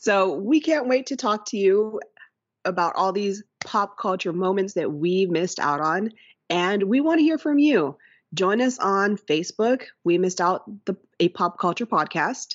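A woman has an ordinary speaking voice with medium pitch and lively intonation. She speaks at a moderate pace. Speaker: podcast co-host, art teacher. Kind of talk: casual chat.

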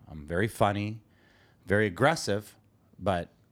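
This man speaks with a Canadian accent and a fairly low pitch. The recording is very clean, with a silent background. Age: 50s. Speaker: podcast co-host and construction business owner. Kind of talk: casual chat. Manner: blunt, direct.

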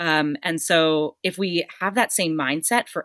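On a very clean recording with a silent background, a woman speaks with a very deep, low pitch and an American accent. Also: dry, close sound with no echo. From US Northeast, Boston. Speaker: leadership and career coach. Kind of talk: casual chat. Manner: animated.

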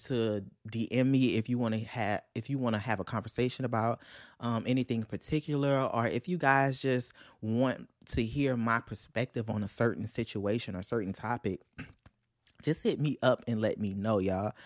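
With a Louisiana accent, a man of medium pitch speaks at a moderate pace with ordinary pitch variation, in a very clean recording with a silent background and a dry, close sound with no echo. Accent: Southern US (Louisiana). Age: 20s. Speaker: podcast host, counseling graduate student. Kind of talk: casual solo podcast monologue. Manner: animated.

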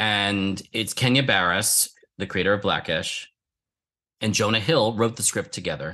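At a moderate pace, a man with a fairly low pitch and a bright, sharp tone speaks with fairly even intonation. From Philadelphia, US. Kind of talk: interview.

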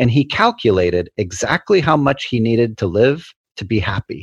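The voice is somewhat breathy, with lively intonation. The sound is dry and close with no echo, and the background is quiet. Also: man. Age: 40s. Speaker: psychology researcher. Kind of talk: casual chat.

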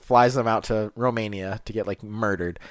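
A man with a plain, everyday voice speaks at a fairly quick pace, keeping a medium pitch and fairly even intonation. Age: 20s. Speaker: podcast co-host. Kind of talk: casual chat.

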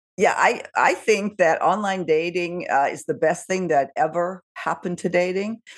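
A woman with an ordinary speaking voice and an American accent, at a moderate pace and medium pitch, with ordinary pitch variation and hardly any pauses. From Southern California. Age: 60s. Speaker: YouTube show host and producer. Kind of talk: interview.

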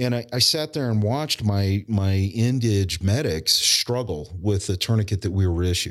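A man with a normal speaking voice talks at a moderate pace and a fairly low pitch. His pitch variation is ordinary, his loudness very even, and he barely pauses. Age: 40s. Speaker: emergency preparedness business owner and military veteran. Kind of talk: casual interview conversation. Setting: in-person recording at guest's business.

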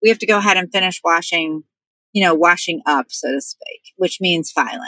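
Her tone is bright and sharp, and this woman's voice sounds dry and close with no echo. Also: medium pitch for a woman, ordinary pitch variation, moderate pace. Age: 50s. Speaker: professional organizer. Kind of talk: interview.

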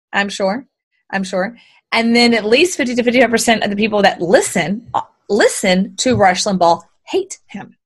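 The intonation is lively, in an American accent. The voice is somewhat breathy. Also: woman, fairly high pitch for a woman. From Texas (Houston). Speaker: business coach. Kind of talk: interview. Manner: fast, run-on.

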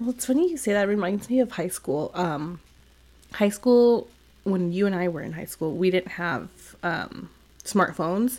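A woman with an American accent and an ordinary speaking voice talks at a medium pitch and moderate pace with lively intonation. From California. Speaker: podcast co-host. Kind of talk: casual chat.

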